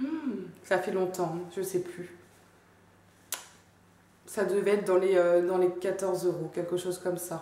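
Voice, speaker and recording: A woman with a Belgian accent speaks fairly slowly at a medium pitch, leaving long, frequent pauses. Noticeable background noise runs underneath. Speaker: fashion haul vlogger. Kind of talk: casual talk to camera. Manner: chatty, enthusiastic.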